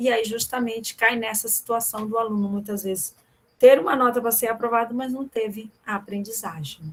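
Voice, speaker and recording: An ordinary speaking voice from a woman, pitched fairly high, moderately paced and with typical pitch movement. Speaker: professor. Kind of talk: online lecture.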